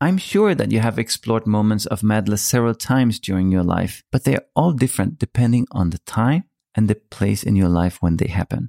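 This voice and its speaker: On a very clean recording with a silent background and a dry, close sound with no echo, a man with a fairly low pitch talks at a fairly quick pace with hardly any pauses, very even loudness and ordinary pitch variation. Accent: Danish. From Denmark. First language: Danish. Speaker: podcast host. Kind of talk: monologue.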